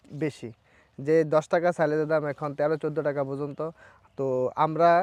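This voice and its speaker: Against a quiet background, a man with an ordinary speaking voice talks at a fairly high pitch, the sound dry and close with no echo. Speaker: grass farmer. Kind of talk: casual interview.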